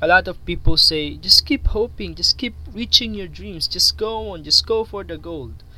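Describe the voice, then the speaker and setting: With a Filipino accent, a man speaks at a moderate pace with hardly any pauses. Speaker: YouTuber. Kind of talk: monologue video talk with motivational advice. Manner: halting, repeats words.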